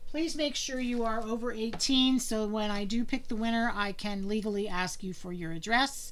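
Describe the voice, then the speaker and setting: Speaking at a moderate pace with hardly any pauses, this voice with an American accent has ordinary pitch variation over audible room echo. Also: woman, fairly high pitch for a woman. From Pennsylvania. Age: 60s. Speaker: cross-stitch vlogger. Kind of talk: casual video monologue.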